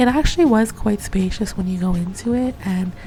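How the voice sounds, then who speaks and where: There is noticeable background noise. Over it, a woman talks at a moderate pace. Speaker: english teacher abroad, travel vlogger. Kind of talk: vlog voiceover narration.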